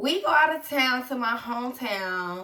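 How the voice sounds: A woman's bright, sharp-toned voice with ordinary pitch variation and audible room echo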